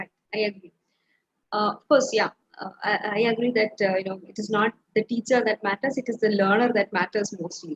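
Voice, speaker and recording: A woman with an Indian accent, fairly high pitch, fairly even intonation and a fairly quick pace broken by long, frequent pauses, with big swings in loudness and a dry, close sound with no echo. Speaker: webinar host. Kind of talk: webinar interview.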